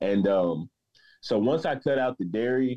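This man has a fairly low pitch and ordinary pitch variation at a moderate pace. It is a plain, everyday voice. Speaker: patient sharing story. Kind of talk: personal testimony interview.

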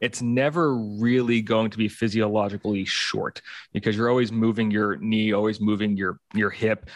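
With an unremarkable speaking voice, a man talks at a moderate pace with a fairly low pitch and fairly even intonation against a quiet background. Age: 30s. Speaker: physical therapist and movement coach. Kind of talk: casual chat.

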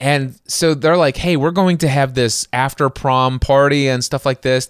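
With a normal speaking voice, a man talks at a moderate pace and medium pitch, his pitch varying in an ordinary way. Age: 40s. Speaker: podcast host. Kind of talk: casual chat.

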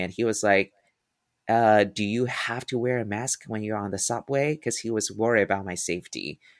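Speaking with a Mandarin accent, a man has a bright, sharp tone at a fairly low pitch with ordinary pitch variation, in a dry, close sound with no echo. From Taiwan. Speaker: musical theater performer and acting professor. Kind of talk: interview. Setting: remote call.

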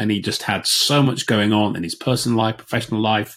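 On a very clean recording with a silent background, a man with a Yorkshire accent speaks at a fairly low pitch and a fairly quick pace with ordinary pitch variation. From Yorkshire, northern England. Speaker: business agility coach, former air force officer. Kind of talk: casual chat.

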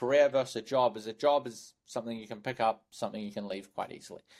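Here a man talks at a fairly quick pace with a New Zealand accent. His pitch sits in the medium range. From New Zealand (Hamilton). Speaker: sales recruiter. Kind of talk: podcast interview.

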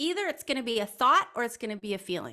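With an American accent, a woman talks in a raised, projected voice that is bright and sharp in tone, her pitch swinging very widely. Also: very clean recording, silent background. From US Midwest. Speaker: intuitive coach. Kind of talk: podcast interview.

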